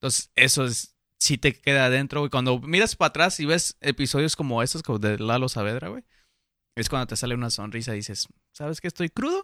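On a very clean recording with a silent background and a dry, close sound with no echo, a man speaks at a fairly quick pace with a bright, sharp tone, medium pitch and ordinary pitch variation. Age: 20s. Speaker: podcast host. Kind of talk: casual chat.

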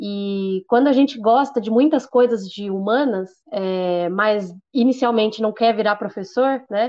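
A woman with a plain, everyday voice, fairly high in pitch, with ordinary pitch variation, a fairly slow pace and hardly any pauses. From Brazil, Santo André (ABC Paulista). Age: 20s. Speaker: journalist and photographer. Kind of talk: interview conversation.

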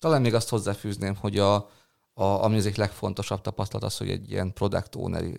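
A man at a very fast pace, fairly low in pitch with ordinary pitch variation, on a very clean recording with a silent background. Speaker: product manager. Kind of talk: interview. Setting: office.

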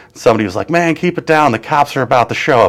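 With an American accent, a man talks in an ordinary speaking voice, fairly high-pitched, with lively intonation. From Wisconsin, Kenosha. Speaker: comedian and comedy show producer. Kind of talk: casual chat. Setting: live-streamed interview.

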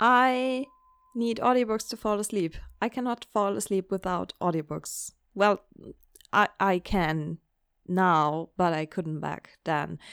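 In a dry, close recording with no echo, a woman of medium pitch speaks at a very slow pace with a non-native accent. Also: lively intonation. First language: not English. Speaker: book podcaster. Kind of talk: casual solo monologue. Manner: animated.

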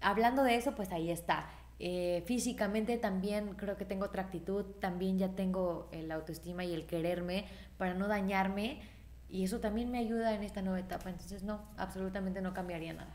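With audible room echo, a woman speaks at a fairly quick pace and with fairly even intonation. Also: medium pitch for a woman. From Mexico, Irapuato (Guanajuato). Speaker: singer. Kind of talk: casual chat.

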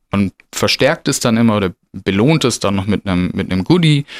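A man speaks in a plain, everyday voice at a fairly low pitch and a fairly quick pace. The sound is dry and close with no echo, on a very clean recording with a silent background. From Stuttgart, southwest Germany. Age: 30s. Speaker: zookeeper. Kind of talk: casual interview.

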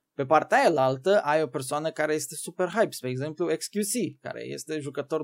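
A man has an unremarkable speaking voice with fairly high pitch and ordinary pitch variation. He goes at a fairly quick pace in a very clean recording with a silent background. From Romania, Bacău county (Moldavia). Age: 20s. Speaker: gaming content creator and streamer. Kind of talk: casual interview.

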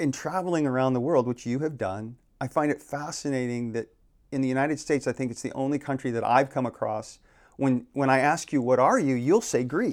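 A man with an American accent, an ordinary speaking voice, medium pitch, ordinary pitch variation and a fairly quick pace. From Arizona (Phoenix). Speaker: realtor and planning commission chair. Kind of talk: casual interview conversation.

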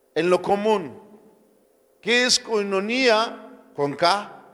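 A man with a high voice talks amid audible room echo. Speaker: pastor. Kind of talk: sermon.

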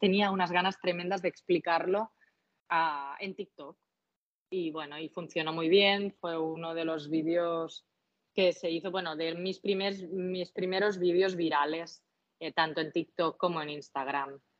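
Here a woman speaks with a Catalan accent. Her voice sits fairly low. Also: fairly even intonation, fairly slow pace. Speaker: cocktail content creator. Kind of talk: casual interview.

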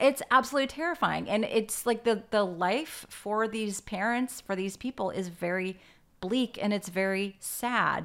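This woman has a normal speaking voice, fairly high in pitch. She talks at a moderate pace with ordinary pitch variation. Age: 40s. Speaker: podcast host. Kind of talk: casual interview. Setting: video call.

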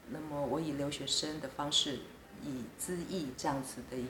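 Noticeable background noise and audible room echo surround the recording. A woman speaks with a very deep, low pitch. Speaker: diplomat. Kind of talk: interview. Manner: hesitant with frequent fillers.

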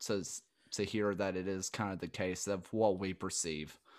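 A man speaks with a strong Southern US accent. His pace is moderate. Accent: thick Southern US. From US South. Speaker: podcast host. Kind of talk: casual interview chat. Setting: recorded video call.

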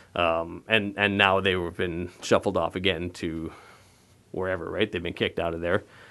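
A man with a Canadian accent talks at a fairly quick pace in a bright, sharp tone against a quiet background. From Ontario, Canada. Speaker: city council candidate. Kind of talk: interview. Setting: studio.

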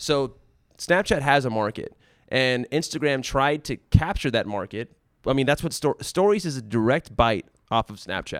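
With a plain, everyday voice at medium pitch, a man speaks at a moderate pace with lively intonation on a very clean recording with a silent background. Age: 30s. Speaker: former tech company studio lead. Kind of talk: casual chat.

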